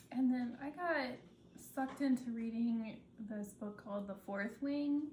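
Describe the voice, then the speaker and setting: Audible room echo surrounds a voice moving at a fairly slow pace with ordinary pitch variation. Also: woman, high pitch for a woman. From Minnesota. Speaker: podcast co-host. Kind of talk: casual chat.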